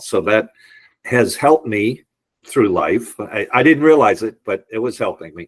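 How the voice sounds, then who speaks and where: A man with a slight Boston accent speaks at a moderate pace. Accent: slight Boston area. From US Northeast, Boston area. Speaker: entrepreneur and real estate appraiser. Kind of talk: podcast interview, telling life story.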